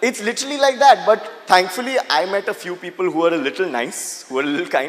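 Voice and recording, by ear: A man's high-pitched, fast delivery over faint background noise and faint crowd noise. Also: ordinary pitch variation.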